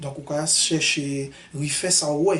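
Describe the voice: A man talks at a slow pace with a fairly high pitch. His tone is fairly bright, and his intonation stays fairly even.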